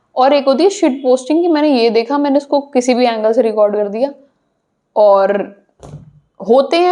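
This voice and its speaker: Speaking in a Punjabi accent, a woman has a high pitch, a dark, mellow tone and lively intonation. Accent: Punjabi accent in Hindi. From Punjab, India. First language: Punjabi (speaking Hindi). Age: young. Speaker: social media content creator. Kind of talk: podcast interview.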